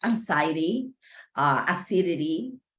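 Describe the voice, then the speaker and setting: Here is an unremarkable speaking voice from a woman. She talks at a fairly slow pace. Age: 60s. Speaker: patient advocate. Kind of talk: testimony. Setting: video call.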